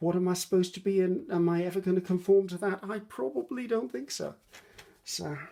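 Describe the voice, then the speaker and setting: Using a dark, mellow tone, a woman speaks fairly quickly in a British accent at a medium pitch with ordinary pitch variation. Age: 60s. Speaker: craft youtuber. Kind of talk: craft tutorial with casual chat. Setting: home craft desk, filmed on iPad. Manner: casual, hesitant with many ums.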